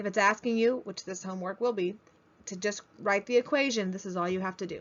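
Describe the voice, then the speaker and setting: A woman's medium-pitched voice at a fairly quick pace, a plain, everyday voice with fairly even intonation. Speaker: math teacher. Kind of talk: lecture.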